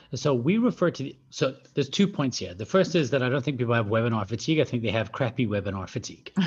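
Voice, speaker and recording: A man with a medium pitch talks at a very fast pace with lively intonation. His voice is somewhat breathy against a quiet background. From Scotland. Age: 40s. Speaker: professional speaker and business founder. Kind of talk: interview.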